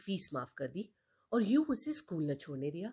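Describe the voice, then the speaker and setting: A somewhat breathy woman at a fairly low pitch and fairly slow pace, with very wide pitch swings. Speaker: storyteller. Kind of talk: reading aloud.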